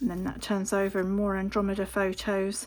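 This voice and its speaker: A woman speaks with an English accent. Her pitch sits in the medium range. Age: 50s. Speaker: papercraft youtuber. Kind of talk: craft show-and-tell. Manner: casual, with filler ums.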